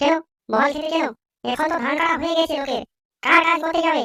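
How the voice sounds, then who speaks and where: A woman does a squeaky, cartoonish character voice at an extremely high pitch, talking at a fairly quick pace with fairly even intonation. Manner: grumbling, incredulous.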